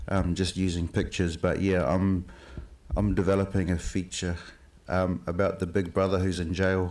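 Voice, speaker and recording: A man with a New Zealand accent, very deep and low in pitch, at a moderate pace with monotone, flat intonation. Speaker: filmmaker. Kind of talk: panel discussion.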